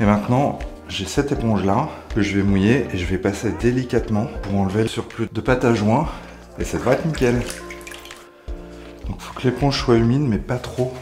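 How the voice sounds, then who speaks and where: Over clear background music, a man speaks at a moderate pace, leaving long, frequent pauses. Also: ordinary pitch variation. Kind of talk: tutorial. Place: bathroom.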